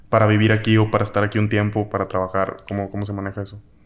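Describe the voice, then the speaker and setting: Speaking very fast with a Mexican accent, a man uses a fairly low pitch and a monotone, flat intonation. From Mexico. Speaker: podcast host. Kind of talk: casual chat. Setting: in person in Mexico City.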